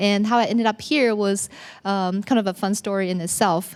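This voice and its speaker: Her pitch medium and its variation ordinary, a woman speaks fairly quickly in a Chinese accent on a very clean recording with a silent background. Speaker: business owner. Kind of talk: personal story talk. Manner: hesitant, with many fillers.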